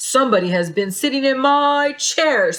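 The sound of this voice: A woman puts on a high-pitched character voice at a moderate pace.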